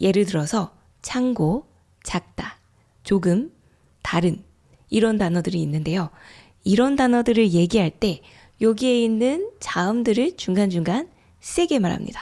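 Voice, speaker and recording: A woman's dark, mellow voice at medium pitch, with lively intonation, a fairly slow pace and long, frequent pauses. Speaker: Korean language teacher. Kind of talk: language-learning podcast. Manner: clear, slow.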